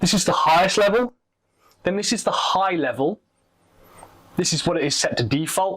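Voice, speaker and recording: A loud, high male voice at a moderate pace, with ordinary pitch variation and long, frequent pauses. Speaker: tech product reviewer. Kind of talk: product review tutorial.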